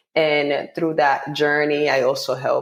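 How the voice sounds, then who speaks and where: A woman is speaking. She has a Spanish accent. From Dominican Republic, Santo Domingo. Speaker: poet and author. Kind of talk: podcast interview.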